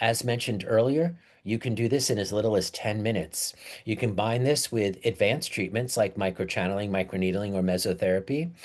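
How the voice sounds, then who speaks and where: Quiet background behind a man's fairly low voice, fairly quick in pace with ordinary pitch variation. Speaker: skincare product educator. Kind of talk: webinar presentation. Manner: fast.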